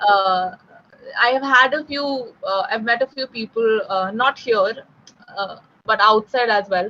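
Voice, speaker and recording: Speaking with a Delhi accent, a woman talks at a fairly slow pace and fairly high pitch with ordinary pitch variation and long, frequent pauses. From India, West Delhi. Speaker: English tutor. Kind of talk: tutoring conversation.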